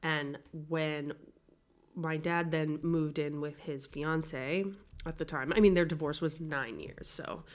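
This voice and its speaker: The speaker has a New York accent and fairly even intonation. The pace is fairly slow. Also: woman, very deep, low pitch for a woman. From New York City. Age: 40s. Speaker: podcast guest. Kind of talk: casual chat. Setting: apartment in Paris.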